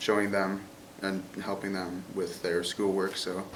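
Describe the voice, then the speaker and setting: Heard with audible room echo, a man with an American accent speaks at a fairly low pitch. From Chicago. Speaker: college student. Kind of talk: interview.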